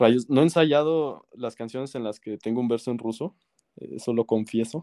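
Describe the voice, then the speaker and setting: Recorded very cleanly against a silent background with a dry, close sound and no echo, a man with a Mexican accent speaks at a fairly slow pace in a dark, mellow tone with ordinary pitch variation. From Mexico. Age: 20s. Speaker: singer and music producer. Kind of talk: casual interview.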